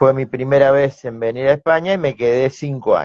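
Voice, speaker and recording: A man at a medium pitch with an Argentine accent, moderate pace and ordinary pitch variation, in a dry, close sound with no echo. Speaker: sales expert, business owner. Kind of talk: interview.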